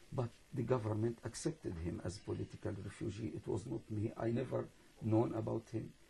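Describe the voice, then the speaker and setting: A man speaks with a fairly low pitch, a dark, mellow tone and some vocal fry. His pace is fairly quick, with ordinary pitch variation. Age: 60s. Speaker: imam. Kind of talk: interview. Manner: halting.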